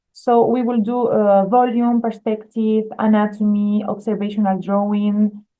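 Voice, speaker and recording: A woman with a strong Spanish accent speaks at a fairly slow pace and a fairly high pitch, in a monotone, flat intonation with very even loudness and hardly any pauses. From Spain. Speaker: art school admissions staff. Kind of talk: webinar presentation. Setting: video call webinar. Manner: hesitant, many fillers.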